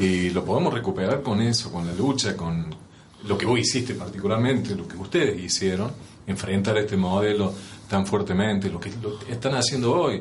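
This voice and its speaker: Amid noticeable background noise and audible room echo, a man with a fairly low pitch speaks at a moderate pace with ordinary pitch variation. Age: 60s. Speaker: union leader and show host. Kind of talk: interview.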